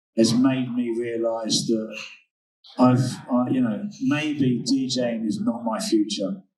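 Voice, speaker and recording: Speaking at a very slow pace, a man uses a medium pitch with ordinary pitch variation amid audible room echo. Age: 50s. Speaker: DJ and music label founder. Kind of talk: interview. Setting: recorded at a summit. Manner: hesitant, many fillers.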